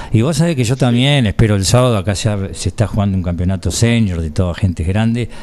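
Speaking at a very fast pace with hardly any pauses, a man keeps a fairly low pitch. His intonation is lively. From Buenos Aires province, Argentina. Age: 50s. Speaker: radio sports host. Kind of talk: radio interview.

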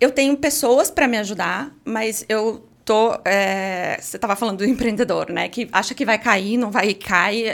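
A woman speaks fairly slowly in a plain, everyday voice, fairly high in pitch. She has hardly any pauses and ordinary pitch variation. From Sorocaba, São Paulo state, Brazil. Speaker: pharmacist and entrepreneur. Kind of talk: casual interview chat.

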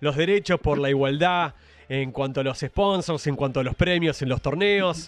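Moderate pace and ordinary pitch variation in an Argentine accent. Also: man. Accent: Rioplatense Argentine Spanish. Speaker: radio host. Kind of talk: radio interview.

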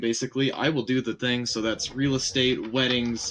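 The speaker is a man with a plain, everyday voice. He talks at a fairly quick pace with medium pitch. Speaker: streamer guest. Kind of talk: casual chat on live stream. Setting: live stream.

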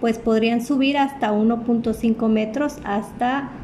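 A woman's fairly slow, fairly even-toned speech against noticeable background noise. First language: Spanish. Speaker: interviewee answering questions on climate change. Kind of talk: interview answering questions.

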